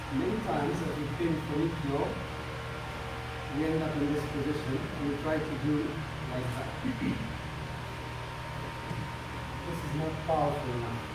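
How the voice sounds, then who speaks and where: A man speaks at a moderate pace with long, frequent pauses. Loud background noise and audible room echo fill the recording. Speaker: martial arts instructor. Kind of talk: technique demonstration explanation. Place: gym. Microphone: camera far.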